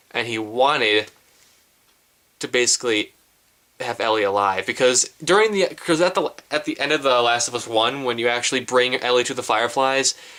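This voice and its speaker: Using a bright, sharp tone, a man speaks at a medium pitch with ordinary pitch variation. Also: moderate pace. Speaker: gaming YouTuber. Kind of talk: casual vlog monologue. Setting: to camera, face-to-face vlog. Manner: halting, stuttering; rambling, jumping between ideas.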